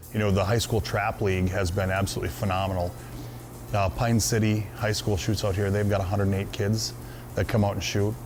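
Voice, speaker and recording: Spoken with an American accent at a fairly quick pace, the voice keeps a very even loudness and ordinary pitch variation, with audible room echo and noticeable background noise. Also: man, fairly low pitch for a man. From Minnesota. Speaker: hunting club owner. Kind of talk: interview. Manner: casual, with frequent fillers.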